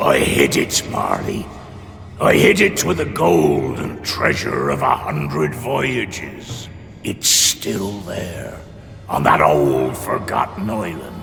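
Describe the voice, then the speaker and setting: Putting on a character voice, a man with a very deep, low pitch speaks at a fairly slow pace amid clear echo and clear background noise. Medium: video game.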